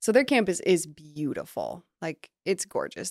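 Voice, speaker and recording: A woman speaks in a normal speaking voice at medium pitch and a fairly slow pace, with a dry, close sound with no echo on a very clean recording over a silent background. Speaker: podcast co-host. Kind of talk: casual chat.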